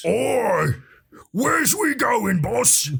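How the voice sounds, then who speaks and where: A man puts on a high-pitched character voice. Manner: gruff, rough.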